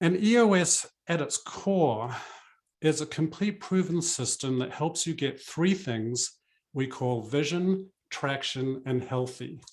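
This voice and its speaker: A man speaks with a New Zealand accent at a fairly slow pace. His voice is somewhat breathy, with lively intonation. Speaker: business coach. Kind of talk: webinar presentation.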